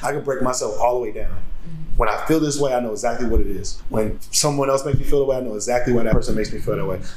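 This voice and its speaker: Against noticeable background noise, a man talks at a very fast pace. His intonation stays fairly even. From Chicago, South Side. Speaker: rapper and tattoo artist. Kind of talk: casual interview. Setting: studio, in person.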